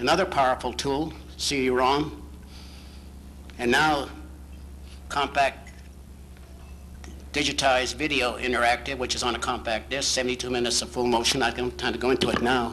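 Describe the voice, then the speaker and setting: Through audible room echo, a man at medium pitch speaks at a fairly quick pace with a bright, sharp tone, vocal fry, ordinary pitch variation and long, frequent pauses. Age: 60s. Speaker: founder of a professional society giving a banquet speech. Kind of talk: banquet speech. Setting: banquet hall with audience. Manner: animated.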